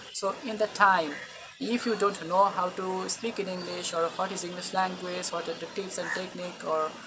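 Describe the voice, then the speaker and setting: Speech with a Bengali accent at a moderate pace over noticeable background noise. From Bangladesh. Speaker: English teacher, student. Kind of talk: video lecture to camera. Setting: recording to camera.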